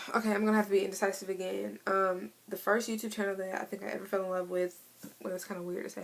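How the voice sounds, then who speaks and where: A woman at a very fast pace, medium in pitch, with an American accent and noticeable background noise. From Missouri. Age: 20s. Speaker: beauty vlogger. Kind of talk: casual vlog monologue.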